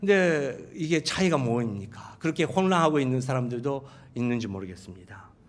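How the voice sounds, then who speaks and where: With a Japanese accent, a man speaks through very wide pitch swings. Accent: Japanese accent in Korean. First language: Japanese (speaking Korean). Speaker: pastor. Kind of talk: sermon. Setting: church. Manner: halting.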